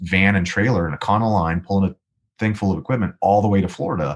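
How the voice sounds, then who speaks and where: An American accent at a very fast pace in a very clean recording with a silent background. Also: man. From Los Angeles, US. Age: 30s. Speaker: musician and voice actor. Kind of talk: casual interview chat.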